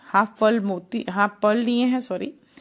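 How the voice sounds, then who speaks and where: A woman's voice carries vocal fry and ordinary pitch variation. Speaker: craft youtuber. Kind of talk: tutorial.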